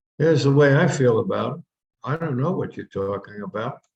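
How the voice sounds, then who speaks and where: The intonation is lively. Vocal fry runs through the voice. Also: man. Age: 80s+. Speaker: minister giving talks. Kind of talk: spiritual talk. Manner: conversational.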